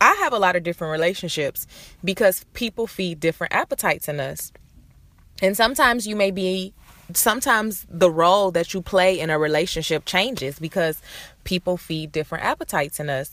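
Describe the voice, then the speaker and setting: A plain, everyday voice with an American accent, lively intonation, a fairly quick pace, and a dry, close sound with no echo. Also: woman, medium pitch for a woman. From Detroit, Michigan, US. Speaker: podcast host. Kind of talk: solo podcast monologue. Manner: casual, conversational.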